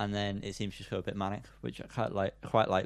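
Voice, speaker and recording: This is a man with a British accent. His pitch sits fairly low. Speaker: podcast co-host. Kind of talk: casual chat.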